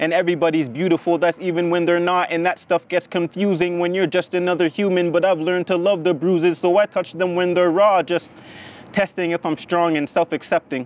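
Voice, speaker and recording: A man speaks at a fairly quick pace with a high pitch, a flat, monotone intonation and very even loudness. The sound is dry and close, with no echo. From Haiti. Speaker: spoken word poet. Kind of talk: live spoken word performance. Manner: measured.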